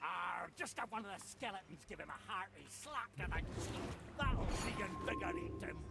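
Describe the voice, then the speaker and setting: A man's put-on character voice at a moderate pace, against loud background noise. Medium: video game. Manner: gruff, jaunty, sea-shanty humming.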